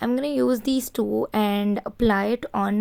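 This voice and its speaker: A woman with a medium pitch speaks very slowly. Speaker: beauty vlogger. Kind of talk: makeup tutorial. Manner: casual, conversational.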